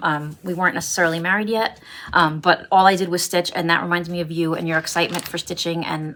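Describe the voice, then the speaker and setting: A woman's fairly low voice in a Brooklyn accent. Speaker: cross-stitch vlogger. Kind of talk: casual vlog chat. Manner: hesitant, many fillers.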